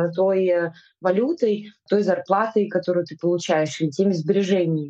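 A woman at medium pitch and moderate pace, with fairly even intonation. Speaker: film director. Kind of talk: casual interview. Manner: hesitant, many fillers.

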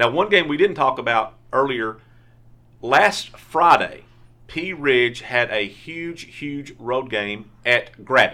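A man's fairly high, bright, sharp voice at a very slow pace, with lively intonation. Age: 50s. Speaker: sportswriter podcast host. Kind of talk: casual sports chat. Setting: studio.

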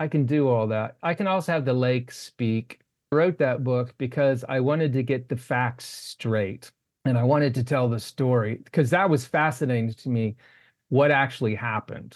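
This man has a plain, everyday voice, speaking at a moderate pace with a medium pitch. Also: ordinary pitch variation. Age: 60s. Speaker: novelist and poet. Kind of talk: casual interview.

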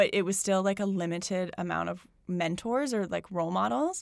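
A woman with a Canadian accent speaks at a medium pitch and a moderate pace in a plain, everyday voice. The recording is very clean with a silent background. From Alberta, Canada (Calgary). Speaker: yoga studio founder. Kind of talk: casual interview.

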